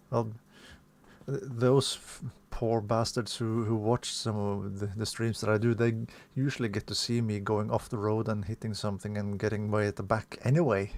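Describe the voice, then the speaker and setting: A man with a non-native accent, fairly low pitch, fairly even intonation and a moderate pace. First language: not English. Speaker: sim racing streamer. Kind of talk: live gameplay commentary. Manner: halting, self-correcting.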